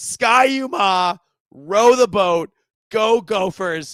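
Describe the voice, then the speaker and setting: A man's high-pitched, raised, projected voice with a bright, sharp, animated tone and lively intonation, in a dry, close sound with no echo. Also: very clean recording, silent background. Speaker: sports podcaster. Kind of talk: casual chat.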